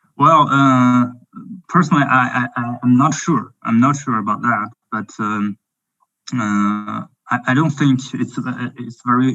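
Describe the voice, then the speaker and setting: A man with a French accent speaks fairly slowly at a medium pitch, his bright, sharp tone carrying fairly even intonation. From France. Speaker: drone company representative. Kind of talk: webinar Q&A. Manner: halting.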